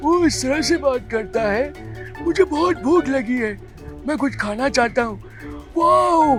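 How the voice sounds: Someone speaks in a put-on character voice. Clear music plays in the background. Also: man, extremely high pitch for a man.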